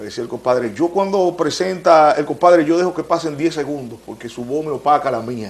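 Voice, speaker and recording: A man with a fairly high pitch talks at a fairly quick pace with hardly any pauses. His loudness swings widely while his pitch variation stays ordinary. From Dominican Republic, Santo Domingo east (Los Minas). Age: 50s. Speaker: radio and TV announcer, former merengue band manager. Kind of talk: interview. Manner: animated.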